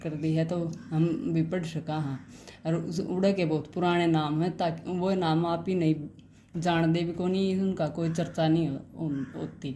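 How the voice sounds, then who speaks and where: A woman with a Haryanvi accent speaks in a fairly low pitch and a dark, mellow tone, her intonation monotone and flat, with audible room echo. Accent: Haryanvi-tinged Hindi. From Haryana, India. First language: Haryanvi (speaking Hindi). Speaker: YouTuber reading books aloud. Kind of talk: book summary and reading aloud. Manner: halting, with false starts.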